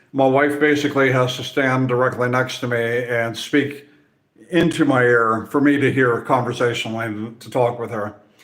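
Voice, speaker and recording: Room echo is audible around a man of medium pitch. He talks at a moderate pace with fairly even intonation. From Central Europe. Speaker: nature content creator. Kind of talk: casual Q&A talk to camera. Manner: halting, many fillers and repeats.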